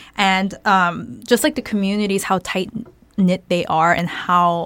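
Speaking at a moderate pace with a Californian accent, a woman uses a medium pitch with ordinary pitch variation. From Arcadia, Los Angeles area. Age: late 20s. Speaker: podcast co-host. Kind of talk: casual chat.

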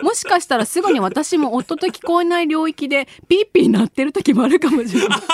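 A woman talks at a high pitch and fairly quick pace, with very wide pitch swings. The sound is dry and close with no echo, though there is noticeable background noise. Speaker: radio host. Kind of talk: casual chat. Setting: studio. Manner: laughs often.

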